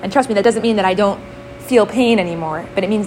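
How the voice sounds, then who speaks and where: A woman talks at a medium pitch. There is noticeable background noise. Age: 20s. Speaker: Torah teacher. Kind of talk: lecture.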